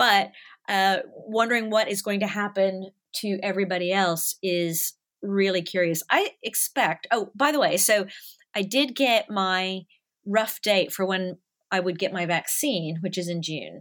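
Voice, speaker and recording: In an ordinary speaking voice with an American accent, a woman speaks at a fairly slow pace and a medium pitch. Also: ordinary pitch variation. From US South, Nashville. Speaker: animation studio artist manager. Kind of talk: casual chat. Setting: remote call, home microphone.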